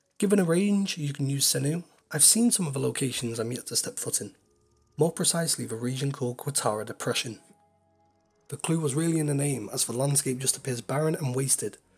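Fairly quick and somewhat breathy, the voice carries lively intonation. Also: man. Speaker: video game commentator. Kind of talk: video essay narration.

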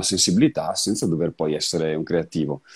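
In a quiet background, a man speaks with a dark, mellow tone and ordinary pitch variation. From Vicenza, Veneto, Italy; Veneto, Italy. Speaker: session guitarist and guitar teacher; guitar teacher. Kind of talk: casual interview. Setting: video call from his music studio. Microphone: video call.

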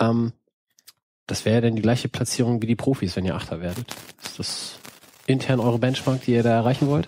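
Dark and mellow in tone, the voice moves at a fairly quick pace with fairly even intonation and long, frequent pauses. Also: man, medium pitch for a man. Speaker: podcast host. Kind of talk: casual chat. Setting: studio.

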